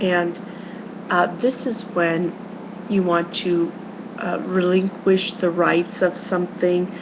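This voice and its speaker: A woman talks at a very slow pace and a fairly low pitch, with long, frequent pauses and flat, monotone intonation. The room echo is audible, and background noise is noticeable. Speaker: schoolteacher. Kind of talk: lecture. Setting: webcam recording. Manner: loud; halting, many fillers.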